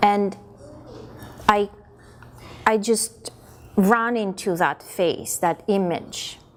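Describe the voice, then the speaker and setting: With a Russian accent, a woman speaks very slowly at a fairly high pitch. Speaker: performer, dancer. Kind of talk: interview. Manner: halting, many repetitions.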